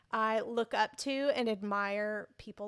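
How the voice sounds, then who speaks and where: A woman speaks in a plain, everyday voice at fairly high pitch, with fairly even intonation and a fairly slow pace. The very clean recording has a dry, close sound with no echo and a silent background. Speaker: podcast host. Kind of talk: casual interview.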